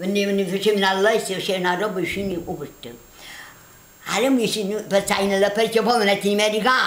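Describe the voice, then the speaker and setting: A woman with a Neapolitan accent at a very fast pace, medium in pitch, with long, frequent pauses, audible room echo and noticeable background noise. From Naples, southern Italy. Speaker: grandmother. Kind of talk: storytelling.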